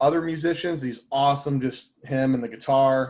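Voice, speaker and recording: Speaking at a moderate pace, a man with an American accent keeps a fairly even intonation. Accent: slight country twang, comes and goes. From Indiana. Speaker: audiovisual industry partner manager. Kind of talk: casual interview chat.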